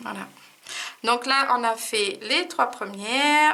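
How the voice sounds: Using a put-on character voice, a woman speaks at a fairly slow pace, high-pitched, hoarse and croaky.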